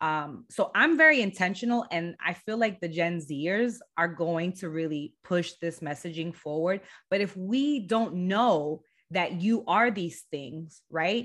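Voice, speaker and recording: An ordinary speaking voice from a woman with an American accent, fairly low in pitch, fairly slow, with lively intonation over a quiet background. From Southern California, San Diego. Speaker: brand agency founder. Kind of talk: podcast interview.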